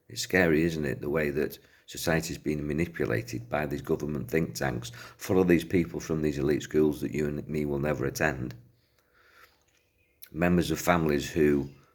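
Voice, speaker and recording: A man with an English accent speaks at a moderate pace with a very deep, low pitch, vocal fry and fairly even intonation. The recording is very clean, with a silent background. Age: 60s. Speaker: self-help speaker. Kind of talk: talk to camera.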